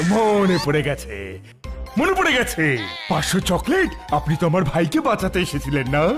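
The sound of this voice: A man does a cartoonish character voice, pitched high with very wide pitch swings, while faint music plays in the background. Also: moderate pace.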